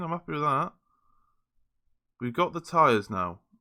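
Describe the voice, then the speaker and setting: On a very clean recording with a silent background, a man with a British accent speaks in a bright, sharp tone at a fairly high pitch. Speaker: gaming YouTuber. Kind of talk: gameplay commentary. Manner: fast; animated.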